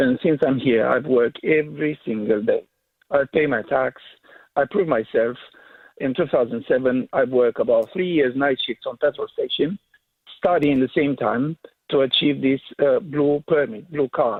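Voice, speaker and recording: Here a man speaks with a Romanian accent. His pace is moderate. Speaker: caller. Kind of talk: radio phone-in. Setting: phone call.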